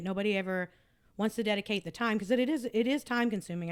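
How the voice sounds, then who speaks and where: A woman talking at a very fast pace, with ordinary pitch variation. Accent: Southern US. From Tennessee. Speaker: podcast host. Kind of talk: casual chat. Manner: many fillers and restarts.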